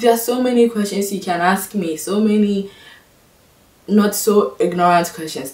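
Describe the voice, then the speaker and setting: Noticeable background noise sits behind a woman with a Ghanaian accent. She talks at a moderate pace with lively intonation. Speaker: vlogger. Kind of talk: casual vlog monologue. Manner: animated.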